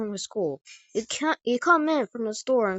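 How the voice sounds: Against a quiet background, a natural reading voice carries lively intonation.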